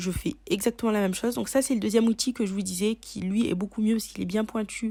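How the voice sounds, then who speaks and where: Her pace is fairly quick. The woman's voice is somewhat breathy. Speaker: beauty YouTuber. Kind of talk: casual tutorial talk to camera.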